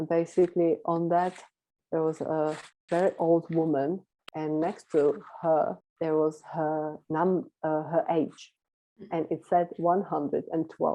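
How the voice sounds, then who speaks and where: In a Czech accent, a woman speaks at a fairly slow pace with a fairly low pitch, a dark, mellow tone and monotone, flat intonation. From Czech Republic. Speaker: volunteer abroad; interview guest. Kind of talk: interview. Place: home room. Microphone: video call.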